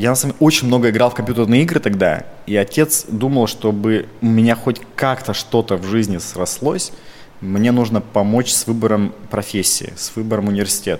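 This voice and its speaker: Here is a plain, everyday voice from a man at medium pitch with ordinary pitch variation. He talks at a moderate pace. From Russia, Krasnoyarsk Krai (Zheleznogorsk). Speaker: entrepreneur. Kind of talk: podcast interview.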